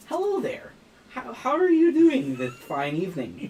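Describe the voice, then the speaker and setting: Moderate pacing in a put-on character voice. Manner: quirky, awkward, polite.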